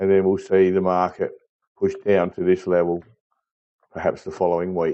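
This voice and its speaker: With an Australian accent, a man delivers his words at a moderate pace. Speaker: market chart analyst. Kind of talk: tutorial.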